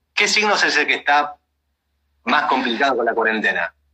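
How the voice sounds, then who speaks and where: A man with a Rioplatense accent at a fairly high pitch and moderate pace, his pitch swinging very widely, in a dry, close sound with no echo. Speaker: podcast host. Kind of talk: casual chat.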